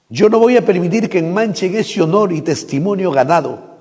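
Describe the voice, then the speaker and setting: Speaking at a fairly slow pace, a man has a high pitch with ordinary pitch variation. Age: 60s. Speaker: pastor. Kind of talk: public statement. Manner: formal.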